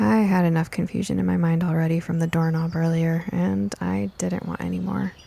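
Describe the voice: Her voice, a woman's, is fairly low in pitch with a dark, mellow tone and vocal fry, moving at a fairly quick pace. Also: fairly even intonation.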